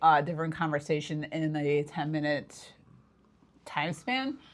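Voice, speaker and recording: A woman talks at a moderate pace with a very deep, low pitch. Her intonation is fairly even, and the background is quiet. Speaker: paranormal investigator podcast co-host. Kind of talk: casual chat. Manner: loud; rambling, hesitant with fillers.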